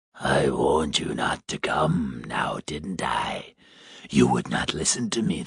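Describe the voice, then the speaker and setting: In a put-on character voice, a man growls at a fairly slow pace, raspy and gravelly, with a very deep, low pitch. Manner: angry, scolding.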